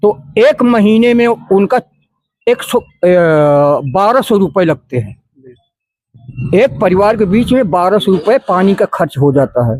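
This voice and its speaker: A man's high-pitched voice with lively intonation and very even loudness, broken by long, frequent pauses, dry and close with no echo. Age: 70s. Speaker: local resident interviewed on the street. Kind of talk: street interview.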